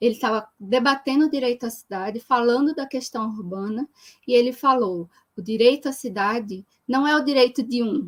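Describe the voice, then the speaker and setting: Speaking at a moderate pace, a woman uses high pitch with ordinary pitch variation. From Brazil, Recife (Pernambuco). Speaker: geographer, researcher on urban social movements. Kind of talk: live-stream interview / talk. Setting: online live stream.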